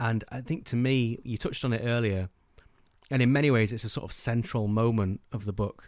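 Fairly even in intonation, a man speaks with an English accent. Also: medium pitch for a man, fairly quick pace. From England. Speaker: book podcast host. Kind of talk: casual chat.

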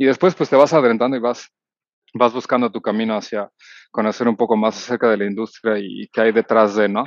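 This man's pace is fairly quick. He talks at a medium pitch. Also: fairly even intonation. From Mexico City. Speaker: cruise ship executive sous-chef. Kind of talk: interview. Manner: halting, many fillers.

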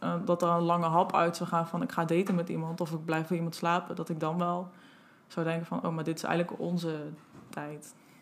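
Fairly quick in pace, a woman speaks in a monotone, flat intonation at a fairly low pitch. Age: 20s. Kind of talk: interview. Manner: hesitant.

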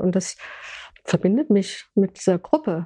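A woman talks at a medium pitch and a moderate pace, with ordinary pitch variation and a dark, mellow tone. The sound is dry and close, with no echo. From Hesse, Germany (Gießen). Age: 70s. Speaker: retired language teacher, food co-op founder. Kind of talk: interview. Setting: in person, on a couch.

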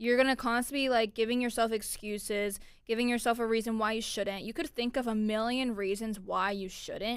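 With an American accent and an unremarkable speaking voice, a woman talks at a moderate pace and fairly high pitch with fairly even intonation, in a very clean recording with a silent background. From Florida. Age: 20s. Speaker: podcast host. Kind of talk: casual solo talk.

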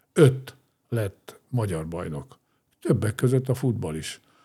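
Speaking at a very slow pace, a man uses lively intonation in a dark, mellow, somewhat breathy voice. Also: very clean recording, silent background. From Hungary, grew up in Ózd. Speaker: former sports club president and steelworks executive. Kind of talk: interview conversation. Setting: studio.

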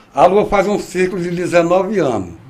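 Audible room echo surrounds a man's high-pitched voice. He speaks at a very slow pace. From Ceará, Brazil (rural). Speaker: rain prophet and rural union leader. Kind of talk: interview.

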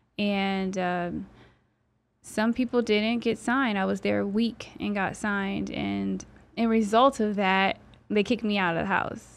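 Very clean, with a silent background, the recording holds a woman talking at medium pitch and a fairly slow pace. She has an unremarkable speaking voice. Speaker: model and financial advisor. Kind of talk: casual interview.

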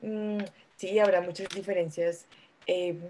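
Speaking in a Bogotá accent, a woman has a fairly low pitch and a dark, mellow tone. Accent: Bogotá Colombian Spanish. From Colombia, Bogotá. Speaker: lawyer, migrant. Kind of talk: casual chat.

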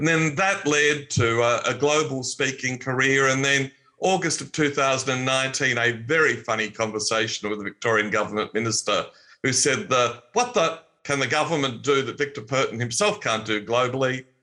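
The man speaks with an Australian accent at a medium pitch and a moderate pace. His tone is bright and sharp, with ordinary pitch variation. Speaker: optimism speaker and former politician. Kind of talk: casual interview.

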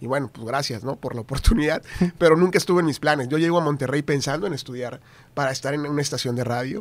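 A man with a fairly high pitch rattles along at a very fast pace, his pitch varying in an ordinary way. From Tamaulipas, northern Mexico. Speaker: TV news anchor and journalist. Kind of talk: casual interview chat.

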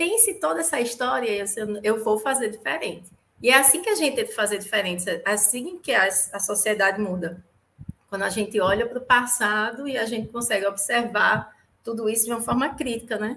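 Speaking with a northeastern Brazilian accent, a woman talks at a fairly quick pace in a fairly high pitch. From Natal, northeast Brazil. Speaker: podcast guest, fan of the show. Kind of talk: casual film discussion.

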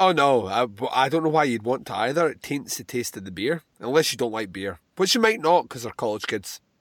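A man with a Scottish accent speaks at medium pitch and a fairly quick pace, with hardly any pauses and very wide pitch swings. The recording is very clean, with a silent background. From Scotland. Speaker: podcast host. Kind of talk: movie commentary. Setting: home recording.

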